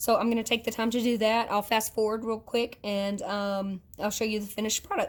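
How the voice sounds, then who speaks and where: A woman talks at a fairly quick pace with hardly any pauses, her fairly high voice flat and monotone. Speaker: nail technician. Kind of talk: tutorial. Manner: casual, with fillers.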